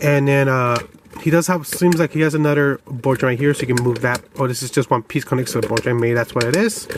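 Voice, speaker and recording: With noticeable background noise behind him, a man speaks at a very fast pace in a fairly high pitch with ordinary pitch variation. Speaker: toy reviewer. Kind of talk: product review. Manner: mumbling; casual, halting.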